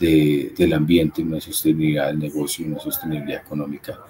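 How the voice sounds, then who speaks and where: Very deep and low in pitch, a man speaks at a fairly quick pace with light background noise. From Colombia. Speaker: webinar host. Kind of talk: webinar moderation. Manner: halting, repeats words. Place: home room.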